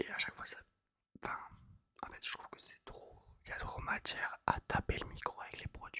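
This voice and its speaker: A man whispering at a moderate pace, the sound dry and close with no echo. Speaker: ASMR creator. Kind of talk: whispered ASMR chat. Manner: whispered.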